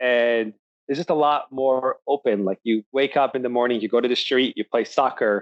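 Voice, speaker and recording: Fairly even intonation and a moderate pace from a man at medium pitch. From Egypt, Alexandria; moved to US at 10. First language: Arabic. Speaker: tech startup founder. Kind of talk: interview. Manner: casual, many filler likes.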